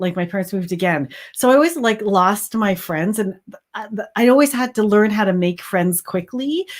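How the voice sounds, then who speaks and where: On a very clean recording with a silent background, a woman talks at a moderate pace in a medium pitch with lively intonation. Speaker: crochet business owner and livestream host. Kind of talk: casual livestream chat. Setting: live stream. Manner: enthusiastic.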